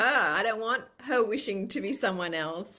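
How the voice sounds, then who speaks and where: Her voice is fairly high-pitched for a woman, with a bright, sharp tone. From Australia, New South Wales. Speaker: former model. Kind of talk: podcast interview. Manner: halting, with many restarts.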